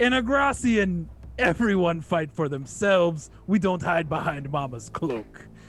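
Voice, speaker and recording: This man puts on a gruff character voice pitched high, raised and projected. He talks at a moderate pace. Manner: fierce, defiant.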